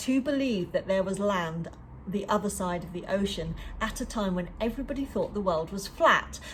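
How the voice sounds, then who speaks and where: Over noticeable background noise, a woman with an English accent talks at a moderate pace and medium pitch with lively intonation. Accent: very English. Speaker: book club leader and coach.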